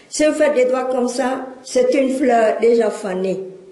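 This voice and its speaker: Over noticeable background noise and audible room echo, a woman speaks with a fairly high pitch. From Cambodia. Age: 60s. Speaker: speaker. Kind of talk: lecture.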